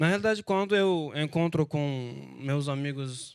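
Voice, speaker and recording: In a Turkish accent, a man speaks at a very slow pace. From Turkey. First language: Turkish (speaking Portuguese). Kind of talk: panel talk. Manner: halting.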